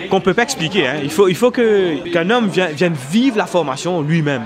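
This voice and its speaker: With crowd noise behind him and audible room echo, a man speaks at a moderate pace in a high voice that swings very widely in pitch. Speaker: parishioner in men's faith group. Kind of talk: interview. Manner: halting.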